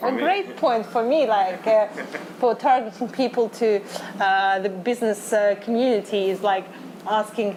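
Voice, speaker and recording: A woman's fairly high voice in a Russian accent, at a moderate pace with ordinary pitch variation and very even loudness, over noticeable background noise. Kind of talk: interview. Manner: halting.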